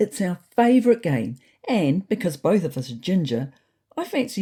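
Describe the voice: Against a quiet backdrop, the text is read aloud plainly.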